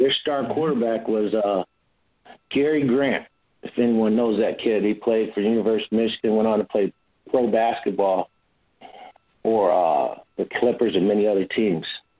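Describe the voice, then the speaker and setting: This man, speaking in an Ohio accent, keeps a moderate pace and a medium pitch with ordinary pitch variation and long, frequent pauses. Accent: Midwestern US (Ohio). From Cleveland, Ohio. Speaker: former football player. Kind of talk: interview.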